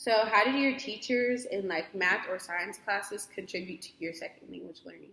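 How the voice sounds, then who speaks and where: The voice has a bright, sharp tone with vocal fry and ordinary pitch variation. It moves at a moderate pace with hardly any pauses and big swings in loudness. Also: woman, medium pitch for a woman. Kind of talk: casual interview questions.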